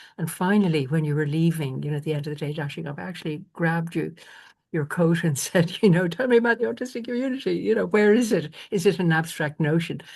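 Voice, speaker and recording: A woman with an Irish accent talks at a very fast pace. Her fairly low-pitched voice carries lively intonation. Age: 70s. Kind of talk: conversation on a conference panel.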